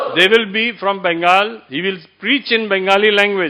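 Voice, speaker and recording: A raised, projected voice with a bright, sharp tone comes at a fairly slow pace with ordinary pitch variation. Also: man. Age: 70s. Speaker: temple member introducing the speaker. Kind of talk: formal introduction speech.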